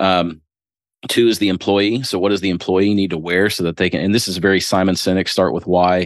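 A man with a very deep, low pitch speaks in a US Midwestern accent at a fairly quick pace. His intonation is monotone and flat, over a quiet background. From Ohio, US Midwest. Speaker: business owner. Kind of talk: casual interview.

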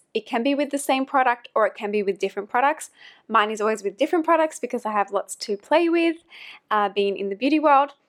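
A high-pitched woman with an Australian accent and lively intonation at a fairly quick pace, in a very clean, dry, close recording with no echo and a silent background. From Australia, NSW coast north of Sydney. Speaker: makeup artist and podcast host. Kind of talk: solo podcast tutorial.

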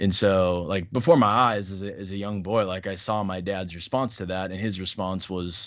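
A man's very deep, low voice, fairly quick with hardly any pauses and fairly even intonation, against a quiet background. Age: 30s. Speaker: pastor. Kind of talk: casual chat.

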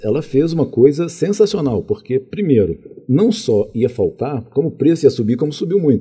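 At a moderate pace, a man talks in a fairly high pitch with very wide pitch swings, his somewhat breathy voice carrying a dark, mellow tone. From Minas Gerais, Brazil (Contagem; early childhood in Rio de Janeiro). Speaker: college director and administration professor. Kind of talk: interview conversation.

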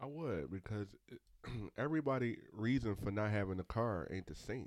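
Recorded very cleanly against a silent background, a man has a plain, everyday voice with lively intonation. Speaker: podcast co-host. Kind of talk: casual chat.

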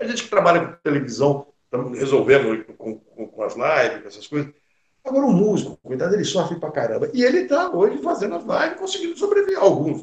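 A man speaks at a very fast pace, with big swings in loudness. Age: 60s. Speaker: cinema club president. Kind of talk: interview.

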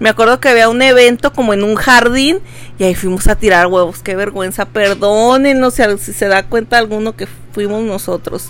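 Backed by music, a woman with a fairly high pitch speaks at a moderate pace with ordinary pitch variation. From Veracruz, Mexico. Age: 20s. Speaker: podcast co-host. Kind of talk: casual chat.

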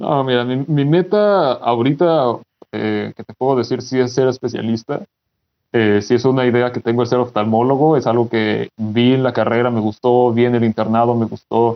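The man has an unremarkable speaking voice at a medium pitch. He talks at a moderate pace with ordinary pitch variation. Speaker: doctor and content creator. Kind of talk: casual chat.

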